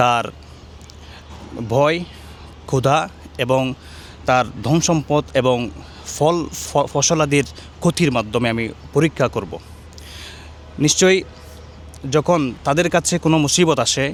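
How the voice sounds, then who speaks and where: A man's voice rides fairly high in pitch and varies in an ordinary way. Noticeable noise sits in the background. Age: 30s. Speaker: Tarawih prayer imam. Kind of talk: interview answer, verse translation.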